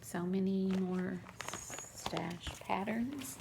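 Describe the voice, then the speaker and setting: A woman speaks in a Southern US accent, her tone dark and mellow with vocal fry. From US South, Mississippi. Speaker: crafting vlogger. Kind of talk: casual show-and-tell vlog.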